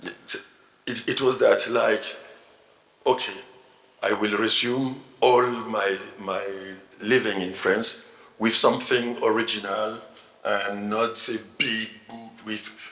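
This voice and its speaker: Someone in a French accent speaks at a very slow pace with long, frequent pauses, with noticeable background noise and audible room echo. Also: man. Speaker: novelist. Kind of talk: panel discussion at literary festival. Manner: halting, repeats words.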